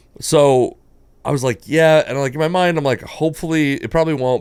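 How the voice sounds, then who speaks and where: In a very clean recording over a silent background, someone with an American accent speaks at a very fast pace. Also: man. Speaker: stand-up comedian. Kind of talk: casual chat. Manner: loud.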